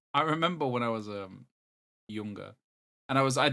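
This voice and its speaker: A man with an English accent speaks very fast at medium pitch with ordinary pitch variation, on a very clean recording with a silent background. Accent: English, lazy with words. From East of England. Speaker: podcast co-host. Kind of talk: casual chat.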